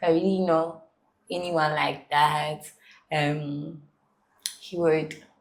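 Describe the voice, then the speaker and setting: Speaking very slowly with long, frequent pauses, a woman has a very deep, low pitch and monotone, flat intonation. Room echo is audible. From Ghana, with childhood years in South Africa. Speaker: university student and content creator. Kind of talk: interview.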